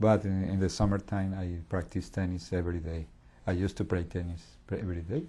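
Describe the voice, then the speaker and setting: A man with a Colombian accent speaks at a very fast pace in a very deep, low pitch, his tone dark, mellow and somewhat breathy. Intonation stays fairly even, and the recording is very clean with a silent background. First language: Spanish. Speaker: English language learner. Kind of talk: interview. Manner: halting.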